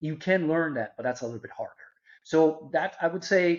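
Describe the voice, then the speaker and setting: A man with a Portuguese accent speaks in a fairly high pitch with ordinary pitch variation. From Brazil. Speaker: marketing executive. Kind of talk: interview.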